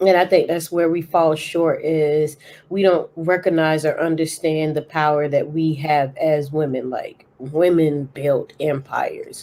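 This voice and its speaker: The voice has a dark, mellow tone and moves at a fairly slow pace with hardly any pauses. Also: woman, very deep, low pitch for a woman. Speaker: podcast co-host. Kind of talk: casual chat. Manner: loud; animated.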